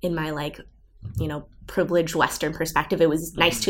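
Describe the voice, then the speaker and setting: A woman with an American accent, fairly low in pitch, talking at a very fast pace. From Southern California. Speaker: recent college graduate. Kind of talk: interview. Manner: casual, filler-heavy with um and like.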